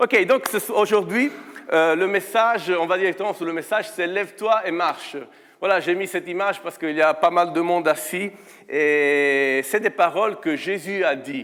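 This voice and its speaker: With an Italian accent, the speaker keeps a moderate pace, ordinary pitch variation and big swings in loudness. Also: man, high pitch for a man. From Italy. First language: Italian (speaking French). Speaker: guest preacher. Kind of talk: sermon. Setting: church. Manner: hesitant, many fillers.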